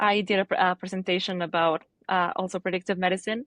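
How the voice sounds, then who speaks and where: Very fast pace from a woman of medium pitch, fairly even intonation, a dry, close sound with no echo and a quiet background. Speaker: student. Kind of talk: interview. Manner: halting.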